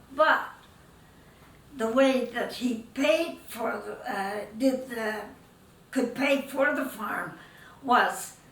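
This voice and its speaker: Amid noticeable background noise, a woman with a high pitch and ordinary pitch variation speaks very slowly, leaving long, frequent pauses. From Netherlands, raised in Canada. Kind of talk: interview answer.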